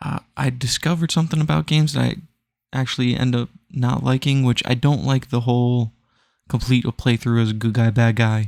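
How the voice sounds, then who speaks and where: Quiet and fairly quick, a man speaks at medium pitch with ordinary pitch variation, the sound dry and close with no echo on a very clean recording with a silent background. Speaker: gaming podcaster. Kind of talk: casual chat. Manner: hushed.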